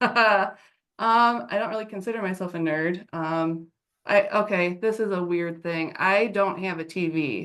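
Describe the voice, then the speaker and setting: Medium in pitch with ordinary pitch variation, a woman talks in an unremarkable speaking voice. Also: fairly slow pace. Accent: American. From Ohio, near Cleveland. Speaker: dating show contestant. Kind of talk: casual chat.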